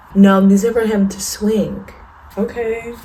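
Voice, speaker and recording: Noticeable background noise and audible room echo surround a quiet woman speaking at a fairly slow pace. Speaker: vlogger, young mother. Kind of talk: casual vlog. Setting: at home, apartment. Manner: animated.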